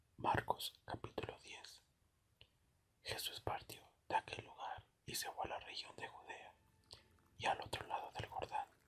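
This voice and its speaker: A whispered voice with long, frequent pauses. The pace is fairly slow. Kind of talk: soft-spoken Bible reading for relaxation. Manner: soft-spoken.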